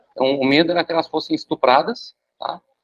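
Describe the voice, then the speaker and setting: A man speaking at a fairly quick pace. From Brazil. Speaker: professor. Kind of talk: lecture. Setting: video call.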